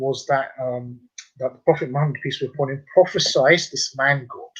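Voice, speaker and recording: Here is a man with a London accent. His somewhat breathy voice moves at a moderate pace. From London, England. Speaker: convert and tour guide. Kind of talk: radio interview. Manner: hesitant, many fillers.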